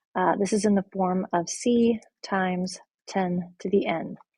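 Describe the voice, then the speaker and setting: A woman's dark, mellow, somewhat breathy voice at a very slow pace. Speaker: math teacher. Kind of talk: lecture.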